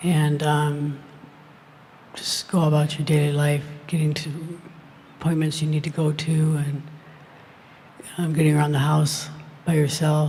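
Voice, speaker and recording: A soft-spoken woman's very deep, low voice, monotone and flat, with long, frequent pauses, audible room echo, and noticeable background noise. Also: fairly slow pace. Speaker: audience member. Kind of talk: audience question.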